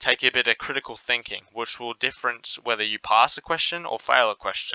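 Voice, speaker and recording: A man with an Australian accent speaks at a medium pitch. His bright, sharp tone moves at a fairly quick pace. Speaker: maths tutor. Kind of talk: tutorial.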